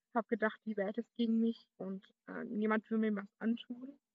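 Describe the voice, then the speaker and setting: A woman with a fairly high pitch at a moderate pace. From Berlin, Germany. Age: young. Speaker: podcaster. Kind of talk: personal monologue.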